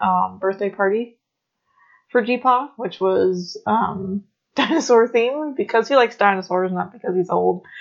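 Ordinary pitch variation marks this woman's medium-pitched voice. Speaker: podcast co-host. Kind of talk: casual chat. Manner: soft-spoken.

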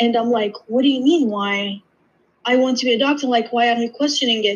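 A woman's fairly high-pitched voice. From Iraq / Jordan. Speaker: podiatry student. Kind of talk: casual interview.

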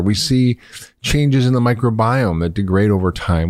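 A man with an American accent talks at a fairly quick pace in a fairly low voice with ordinary pitch variation; a normal speaking voice. The recording is very clean, with a silent background. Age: 50s. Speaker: podcast host and physician. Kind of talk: interview.

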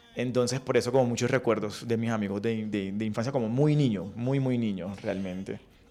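Over noticeable background noise, a man at medium pitch talks at a fairly quick pace with fairly even intonation and hardly any pauses. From Colombian Caribbean coast, Riohacha, La Guajira. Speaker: entrepreneurship lecturer. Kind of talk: radio interview. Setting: radio studio.

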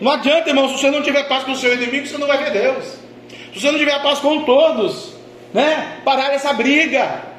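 With a Brazilian accent and an extremely high pitch, a man talks at a fairly quick pace in an animated tone over noticeable background noise. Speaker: pastor. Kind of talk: sermon. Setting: church. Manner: animated, fervent preacher in full flow, repeating phrases.

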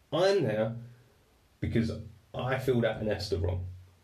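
In an English accent, a man talks with lively intonation and a dark, mellow, somewhat breathy tone, with audible room echo around him. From England. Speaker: podcast host. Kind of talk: storytelling monologue. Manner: casual, halting.

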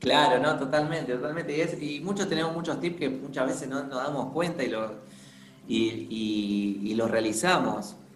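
A man's medium-pitched voice with lively intonation at a moderate pace, audible room echo, and noticeable background noise. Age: 30s. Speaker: podcast host. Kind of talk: casual interview chat.

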